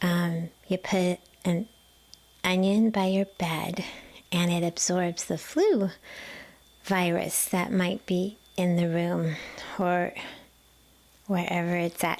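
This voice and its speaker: A soft-spoken woman with a gentle tone talks at a fairly low pitch and a very slow pace, with long, frequent pauses. Her intonation is monotone and flat, and her loudness is very even. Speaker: massage therapist. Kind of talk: casual talk to camera, gentle chatty tips. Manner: gentle, quiet, soft-spoken.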